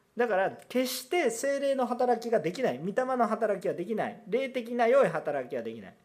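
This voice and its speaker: Lively intonation at a moderate pace with hardly any pauses. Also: man, extremely high pitch for a man. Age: 30s. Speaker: pastor. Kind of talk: sermon.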